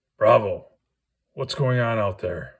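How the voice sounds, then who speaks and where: A raspy put-on character voice from a man at a medium pitch. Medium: read story. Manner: menacing, commanding.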